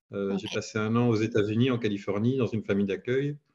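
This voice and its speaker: Fairly quick in pace, a man speaks at a medium pitch with fairly even intonation. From Belgium. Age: 40s. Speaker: head of IT. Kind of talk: interview. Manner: hesitant, many fillers.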